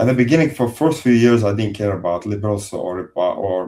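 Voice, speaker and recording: This man's voice is fairly low in pitch, with a dark, mellow tone. It is somewhat breathy, with ordinary pitch variation. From Azerbaijan. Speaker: engineer, ex-Soviet soldier. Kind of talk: podcast interview. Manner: halting.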